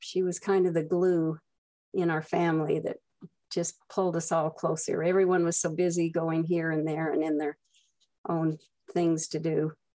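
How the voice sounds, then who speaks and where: A woman with an American accent speaks at a moderate pace in a fairly low pitch, her intonation fairly even and her tone dark and mellow. The recording is very clean, with a silent background. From Utah. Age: 80s+. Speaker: mother of a daughter with Down syndrome. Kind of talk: prepared personal reminiscence.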